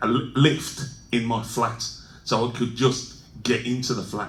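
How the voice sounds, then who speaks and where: A man speaks very slowly in a Birmingham accent, his voice medium in pitch. His intonation stays fairly even, and the room echo is audible. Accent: Birmingham (Brummie). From England, Birmingham. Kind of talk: conference talk. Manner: halting, many fillers and restarts.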